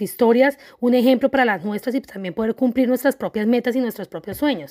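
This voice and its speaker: Very fast, animated speech with a dry, close sound and no echo. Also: woman. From Colombia. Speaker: podcast host and life coach. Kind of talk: podcast monologue. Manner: halting, repeating words.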